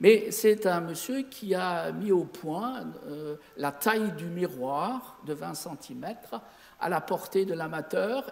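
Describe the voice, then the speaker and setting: A high-pitched man's lively intonation amid noticeable background noise. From Lorraine, Sarreguemines (Moselle). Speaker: amateur astronomer. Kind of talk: lecture. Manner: halting.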